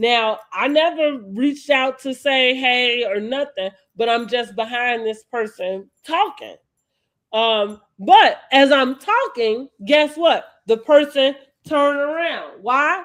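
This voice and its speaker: A woman speaks loudly at a very slow pace in a high voice. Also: lively intonation. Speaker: reality TV commentary podcaster. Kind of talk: casual chat.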